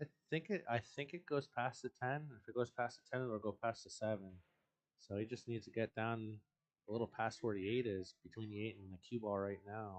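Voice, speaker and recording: A soft-spoken man at a fairly quick pace, medium in pitch, with ordinary pitch variation. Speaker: billiards commentator. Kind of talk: live commentary.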